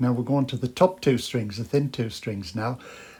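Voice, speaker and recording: Moderate pace and ordinary pitch variation in a somewhat breathy voice. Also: man. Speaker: guitar teacher. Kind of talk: tutorial. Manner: hesitant, many fillers.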